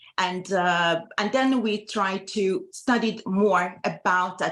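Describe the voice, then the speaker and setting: In an Iranian accent, a woman talks with ordinary pitch variation. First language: Farsi. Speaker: medical doctor. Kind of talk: panel presentation. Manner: halting.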